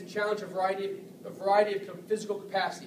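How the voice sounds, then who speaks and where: A man with a high-pitched voice. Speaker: softball strength and conditioning coach. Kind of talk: tutorial. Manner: fast.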